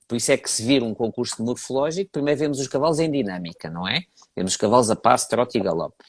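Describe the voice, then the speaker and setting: In a European Portuguese accent, a man speaks at a very fast pace with medium pitch and lively intonation, on a very clean recording with a silent background and dry, close sound with no echo. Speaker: horse breed judge. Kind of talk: interview.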